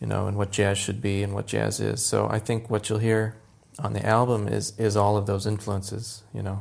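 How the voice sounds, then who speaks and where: A man speaks in a fairly low pitch with an American accent, his intonation flat and monotone. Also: moderate pace. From Florida, US (Tampa). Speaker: jazz pianist and music educator. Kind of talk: interview conversation.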